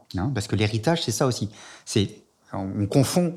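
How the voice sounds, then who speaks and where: A man talks at a moderate pace in a medium pitch, somewhat breathy, with ordinary pitch variation, on a very clean recording with a silent background. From France. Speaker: sociologist. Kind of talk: interview.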